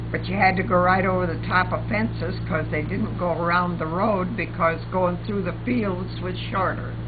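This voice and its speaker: A woman speaks at a moderate pace with hardly any pauses. Noticeable background noise runs under her voice. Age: 90s. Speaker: elderly woman sharing memories. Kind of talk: oral history interview. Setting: at home.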